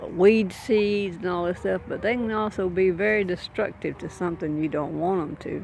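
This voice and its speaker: Over noticeable background noise, a woman speaks at a moderate pace with hardly any pauses, her medium pitch following a fairly even intonation. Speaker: gardening vlogger. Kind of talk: casual vlog. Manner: rambling, casual with fillers.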